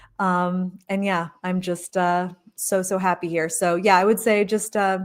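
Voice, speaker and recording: This woman has an American accent and a medium pitch, speaking at a fairly slow pace in a monotone, flat intonation. The recording is very clean, with a silent background. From US Midwest, Michigan. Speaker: content creator on living in Mexico. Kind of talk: live stream Q&A. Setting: live stream from home.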